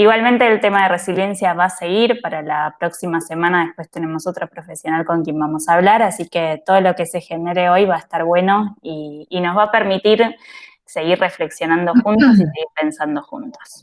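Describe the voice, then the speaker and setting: This woman has an ordinary speaking voice with a fairly low pitch. She talks at a moderate pace with ordinary pitch variation. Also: very clean recording, silent background. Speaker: host. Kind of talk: casual talk to camera.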